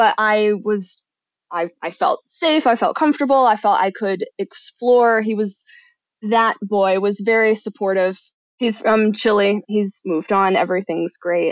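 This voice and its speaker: A woman's fairly high, normal speaking voice with an American accent, at a fairly slow pace with ordinary pitch variation, in a quiet background with a dry, close sound and no echo. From Michigan. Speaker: enneagram coach and writer. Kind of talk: casual chat.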